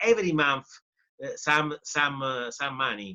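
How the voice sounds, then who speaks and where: In an Italian accent, a man speaks at a moderate pace with a bright, sharp tone and ordinary pitch variation, the sound dry and close with no echo. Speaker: professor and journalist. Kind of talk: interview. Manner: halting.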